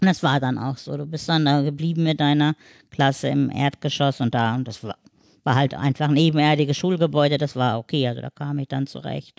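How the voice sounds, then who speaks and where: Over a silent background in a very clean recording with a dry, close sound and no echo, a woman talks fairly quickly with a very deep, low pitch, vocal fry and fairly even intonation. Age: 50s. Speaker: wheelchair user and mother. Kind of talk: casual chat.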